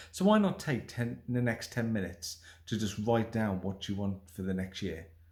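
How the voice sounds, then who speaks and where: A man speaks at a moderate pace in a dark, mellow tone. His voice is somewhat breathy, with ordinary pitch variation. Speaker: stuttering self-help vlogger. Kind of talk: motivational talk to camera.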